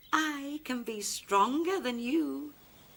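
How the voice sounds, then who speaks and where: A woman puts on a character voice, high in pitch with very wide pitch swings. Her tone stays calm and gentle. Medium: read story. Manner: calm, gentle.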